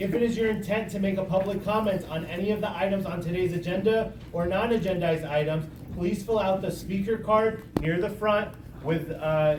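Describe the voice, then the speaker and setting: A man talks loudly at a fairly quick pace, his high pitch held in fairly even intonation. Audible room echo and noticeable background noise surround him. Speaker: community planning group chair. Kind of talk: public meeting chairing. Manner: formal.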